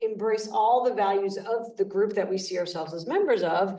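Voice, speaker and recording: At a moderate pace, a woman with a fairly high pitch and a dark, mellow tone shows ordinary pitch variation amid audible room echo. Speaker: panelist. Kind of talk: panel discussion. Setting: live event with audience and zoom. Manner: loud.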